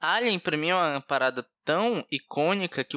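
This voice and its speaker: Lively in intonation and fairly high in pitch, a man talks at a moderate pace with a bright, sharp tone. The recording is very clean, with a silent background and a dry, close sound with no echo. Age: 20s. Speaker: podcast co-host. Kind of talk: casual chat.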